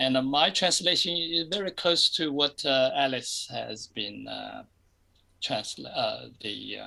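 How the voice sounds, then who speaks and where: A very slow pace in a non-native accent. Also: man. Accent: foreign. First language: not English. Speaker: group member. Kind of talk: casual chat. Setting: video call. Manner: halting, many fillers.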